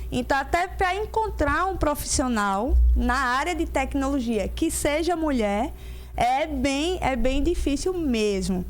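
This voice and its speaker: A woman speaks very slowly with a Pernambuco interior accent, her pitch high and her intonation lively. Audible room echo surrounds her voice. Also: very even loudness. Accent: sing-song Pernambuco interior. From interior of Pernambuco, Brazil (Caruaru). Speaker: technology professional. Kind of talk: podcast interview.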